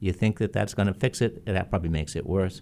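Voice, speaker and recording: A dark, mellow tone at a fairly quick pace, with ordinary pitch variation in a very clean recording over a silent background. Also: man. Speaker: state legislator. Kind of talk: radio talk show conversation. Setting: radio studio.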